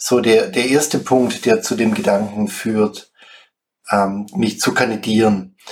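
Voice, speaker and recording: Very slow talking from a man, his intonation fairly even. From Swabia, Germany (Schwäbisch Gmünd). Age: 50s. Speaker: conflict coach and club board candidate. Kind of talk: self-introduction.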